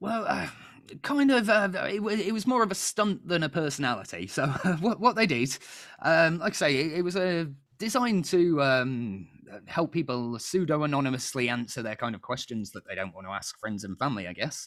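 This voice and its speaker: Using very wide pitch swings, a man with a British accent talks fairly quickly at a fairly high pitch. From Britain. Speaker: quiz show host. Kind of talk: casual panel quiz chat.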